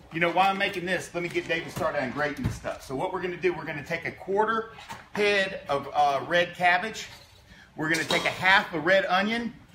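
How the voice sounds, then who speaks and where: A man with a high pitch and ordinary pitch variation talks fairly quickly amid noticeable background noise. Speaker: company co-founder cooking host. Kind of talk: casual cooking tutorial. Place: kitchen. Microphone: phone near.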